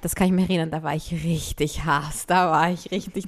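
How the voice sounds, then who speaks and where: In a plain, everyday voice, a woman speaks at a fairly quick pace with a fairly low pitch. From Austria, Vienna. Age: 30s. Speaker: singer-songwriter. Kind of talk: casual chat.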